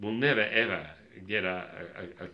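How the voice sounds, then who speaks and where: Speaking with an Australian accent, a man talks at a fairly slow pace and a fairly low pitch, with audible room echo around him. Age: 70s. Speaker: bird sound recordist. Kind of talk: interview. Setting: home sound studio.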